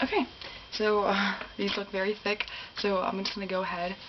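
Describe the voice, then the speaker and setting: A woman is heard over noticeable background noise. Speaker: beauty and ASMR vlogger. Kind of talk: casual talk to camera, makeup tutorial. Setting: studio, close mic, ASMR style.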